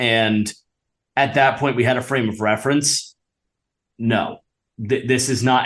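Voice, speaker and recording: A man speaking at a fairly slow pace. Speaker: sports podcast host. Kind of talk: casual chat.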